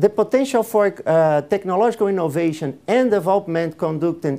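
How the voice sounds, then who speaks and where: Speaking at a moderate pace, a man with a Portuguese accent has a dark, mellow tone and lively intonation. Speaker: public procurement official. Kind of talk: conference presentation. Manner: halting, many fillers.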